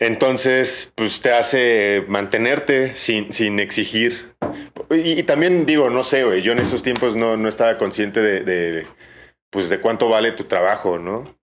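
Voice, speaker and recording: This man has a plain, everyday voice, pitched in the medium range, with ordinary pitch variation and a fairly slow pace. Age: 30s. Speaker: bartender and brand ambassador. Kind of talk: casual chat. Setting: bar.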